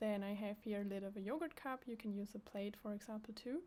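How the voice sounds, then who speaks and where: A woman with a non-native accent speaks at a medium pitch in a dark, mellow tone, her pitch moving up and down in the usual way. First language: not English. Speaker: craft tutorial creator. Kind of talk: tutorial. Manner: halting.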